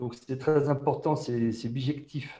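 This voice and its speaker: This man speaks at a fairly slow pace in a dark, mellow tone that is somewhat breathy. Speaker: innovation manager at a bank, panelist. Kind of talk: online panel discussion.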